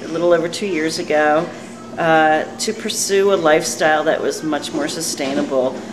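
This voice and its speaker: A woman with an American accent is heard amid noticeable background noise and audible room echo. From US East Coast. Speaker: community activist. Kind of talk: informal interview statement. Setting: coffee bar after meeting.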